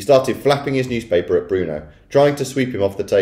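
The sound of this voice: A reading voice that is unforced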